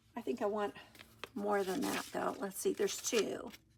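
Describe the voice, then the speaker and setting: A woman with a medium pitch talks as noticeable background noise plays. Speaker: junk journal crafter. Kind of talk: crafting tutorial. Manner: hesitant, many fillers; soft-spoken. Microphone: iPad built-in mic, no external mic.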